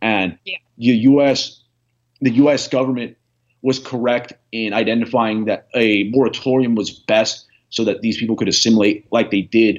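This is a man with an unremarkable speaking voice at a medium pitch. He keeps a moderate pace and fairly even intonation. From United States, born in Venezuela. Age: young. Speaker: political writer. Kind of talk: interview.

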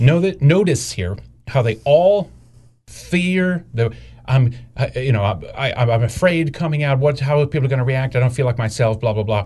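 With a somewhat breathy voice, a man talks using lively intonation. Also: medium pitch for a man, moderate pace. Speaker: political commentary podcast co-host. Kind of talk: casual chat. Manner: halting.

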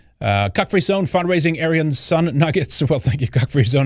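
A man with a Swedish accent, animated tone, very wide pitch swings, a fairly quick pace and a somewhat breathy sound. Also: quiet background. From Sweden. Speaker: online show host, commentator. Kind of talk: angry rant, sarcastic political commentary. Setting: live stream. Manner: animated, sardonic, indignant.

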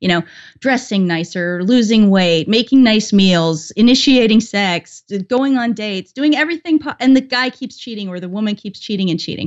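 With a Canadian accent, a woman has a plain, everyday voice at a fairly high pitch and a moderate pace. Her intonation is lively, her loudness swings widely, and she hardly pauses. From Canada. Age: 40s. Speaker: YouTuber. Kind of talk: casual interview.

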